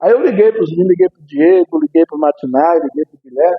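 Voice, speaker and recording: A man with a high voice and lively intonation talks at a fairly quick pace. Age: 60s. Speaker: pastor. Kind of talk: sermon.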